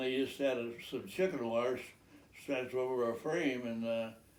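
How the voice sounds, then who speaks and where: At a fairly slow pace, a man speaks at a medium pitch, with audible room echo. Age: 90s. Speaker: farmer. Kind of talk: casual chat. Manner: halting.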